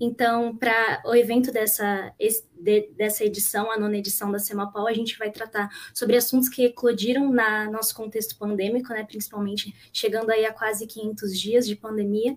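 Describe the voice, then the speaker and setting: Speaking at a moderate pace, a woman with a fairly high voice keeps a monotone, flat intonation. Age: young. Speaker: student event moderator. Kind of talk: live panel moderation.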